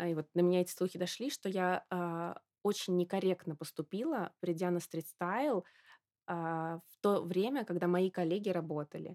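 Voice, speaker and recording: This woman has an unremarkable speaking voice at a medium pitch, delivered at a fairly slow pace. The recording is very clean with a silent background and a dry, close sound with no echo. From Russia, Samara. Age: 20s. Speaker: fashion marketer and model. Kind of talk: interview.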